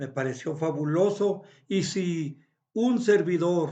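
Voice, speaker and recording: Ordinary pitch variation marks this man's speech at a high pitch. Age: 70s. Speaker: philosophy vlogger. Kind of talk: reflective monologue. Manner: halting.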